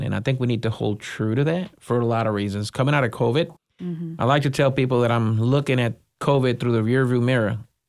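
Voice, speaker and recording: Speaking at a fairly quick pace with a Spanish accent, a man with a medium-pitched voice is heard in a very clean recording over a silent background. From Puerto Rico. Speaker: school superintendent. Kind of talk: interview.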